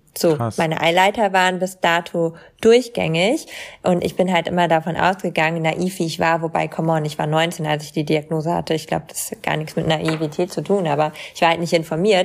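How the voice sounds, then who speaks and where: The voice is a normal speaking voice with fairly even intonation. It moves at a fairly quick pace. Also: woman, fairly low pitch for a woman. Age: 20s. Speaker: content creator and model with chronic illness. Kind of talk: casual interview.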